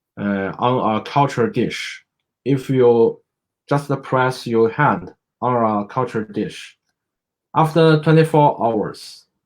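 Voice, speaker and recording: Very slow delivery in a Chinese accent with ordinary pitch variation. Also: man, medium pitch for a man. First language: Mandarin Chinese. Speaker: medical doctor. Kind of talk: educational presentation. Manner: halting, many fillers.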